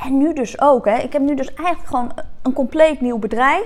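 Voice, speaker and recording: A woman with a high-pitched voice speaks with lively intonation over noticeable background noise. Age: 40s. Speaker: podcast host, entrepreneur. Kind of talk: solo podcast monologue. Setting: her coworking space, video recording.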